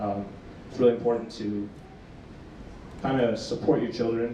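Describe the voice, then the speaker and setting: Medium in pitch, a man's voice carries audible room echo. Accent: American. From South Sudan, emigrated to US young. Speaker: premed student and research scholar. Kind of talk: panel discussion. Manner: hesitant, many fillers.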